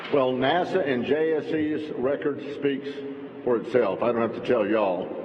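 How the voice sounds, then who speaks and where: Speaking with a Texan accent, a man with a fairly high pitch is heard with audible room echo and noticeable background noise. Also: ordinary pitch variation, moderate pace. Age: 60s. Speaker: politician. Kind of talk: speech. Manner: animated.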